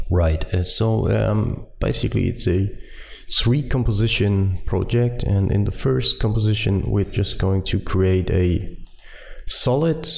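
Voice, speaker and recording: A man with a German accent, fairly slow, at very even loudness. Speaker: software tutorial maker. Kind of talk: tutorial. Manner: hesitant, many fillers.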